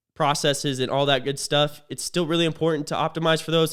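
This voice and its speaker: A man is speaking. His pace is very fast. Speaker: business coach and content creator. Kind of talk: casual vlog monologue. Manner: stuttering, filler-heavy.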